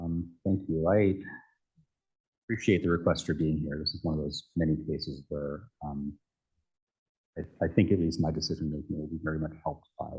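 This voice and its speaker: A man's very deep, low voice has a dark, mellow tone and a somewhat breathy quality, moving at a moderate pace with long, frequent pauses. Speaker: election commissioner. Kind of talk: formal meeting questioning. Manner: halting, many fillers. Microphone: too quiet, far from the mic.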